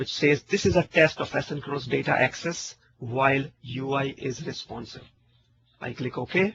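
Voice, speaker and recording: This man's voice sits fairly high for a man, and he speaks at a moderate pace. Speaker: software technology speaker. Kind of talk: technical webinar presentation. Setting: online webinar.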